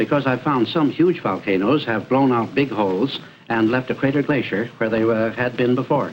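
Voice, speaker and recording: A man's medium-pitched voice at a fairly quick pace, ordinary pitch variation and very even loudness, with music in the background. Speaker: priest and glacier explorer. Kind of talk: TV interview. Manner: halting.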